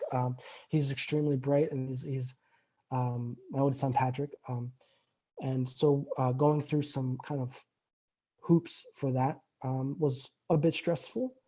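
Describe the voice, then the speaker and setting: A man with a somewhat breathy, fairly high pitch, fairly even intonation, a fairly slow pace and long, frequent pauses. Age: 30s. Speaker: recovering alcoholic guest. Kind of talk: interview testimony. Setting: remote call. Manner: halting, many repetitions.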